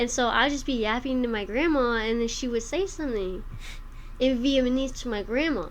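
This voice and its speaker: A woman's high, animated voice at a fairly quick pace, with audible room echo. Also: ordinary pitch variation. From Albuquerque area, New Mexico. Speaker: comedian. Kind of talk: casual chat.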